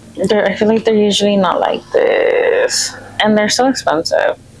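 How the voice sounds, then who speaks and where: Relaxed tone at a fairly slow pace, with noticeable background noise. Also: woman. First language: Spanish. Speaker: lifestyle vlogger. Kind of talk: casual vlog talk. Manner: relaxed, chatty.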